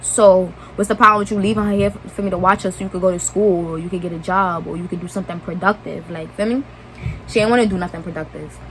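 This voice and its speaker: Over noticeable background noise, a woman with an American accent talks at a very fast pace and medium pitch, with fairly even intonation and big swings in loudness. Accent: New York accent, slight southern touch. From New York (Brooklyn). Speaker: YouTuber. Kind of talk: storytime vlog. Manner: casual, rambling asides.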